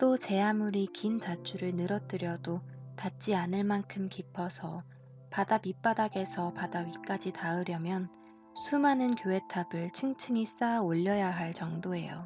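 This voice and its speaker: Against music in the background, this calm, gentle voice moves fairly slowly while its pitch swings very widely. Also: woman, medium pitch for a woman. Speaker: voice actor. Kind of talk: audiobook fairy tale narration.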